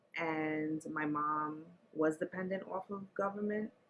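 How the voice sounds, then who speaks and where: Speaking with a New York accent, a woman uses a very deep, low pitch at a fairly slow pace with ordinary pitch variation. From New York City, the Bronx. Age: 40s. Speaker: interviewee sharing life story. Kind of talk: interview.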